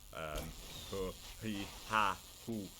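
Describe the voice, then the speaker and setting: A man speaks with a strong northern English accent. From northern England. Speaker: gaming video creator. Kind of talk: gameplay commentary. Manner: animated.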